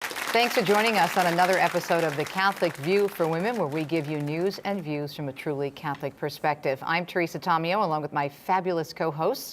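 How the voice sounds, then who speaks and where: Fairly quick speech with hardly any pauses and ordinary pitch variation, over noticeable background noise. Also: woman, fairly low pitch for a woman. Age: 60s. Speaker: talk show host. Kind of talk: show introduction and panel chat.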